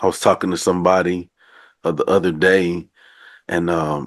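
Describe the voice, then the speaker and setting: Against a quiet background, a man with a Southern US accent talks at a moderate pace in a very deep, low voice and a flat, monotone delivery. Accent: down south. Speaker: podcast host. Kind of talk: casual interview chat.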